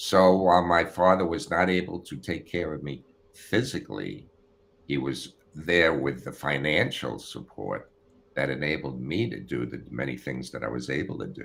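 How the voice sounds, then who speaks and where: A man with an American accent, very deep and low in pitch, at a moderate pace, with lively intonation, big swings in loudness and vocal fry. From United States. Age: 70s. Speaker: retired prosecutor. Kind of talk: interview.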